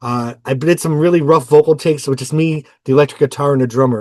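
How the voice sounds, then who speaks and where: With an American accent, a man talks fairly quickly at a fairly high pitch, his intonation fairly even, the sound dry and close with no echo against a quiet background. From New York State. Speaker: musician. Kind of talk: casual monologue about his albums.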